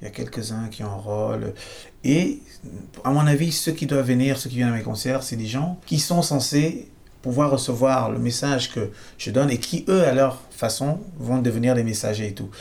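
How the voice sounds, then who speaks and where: Somewhat breathy, a man of medium pitch speaks at a moderate pace with ordinary pitch variation amid audible room echo. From Cameroon. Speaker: singer-songwriter. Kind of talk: interview. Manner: halting.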